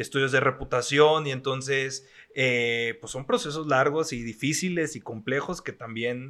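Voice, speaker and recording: The tone is bright and sharp, with fairly even intonation at a fairly slow pace. The recording is very clean, with a silent background. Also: man. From Mexico, La Laguna region. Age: 30s. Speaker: actor and foundation director. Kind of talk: casual interview.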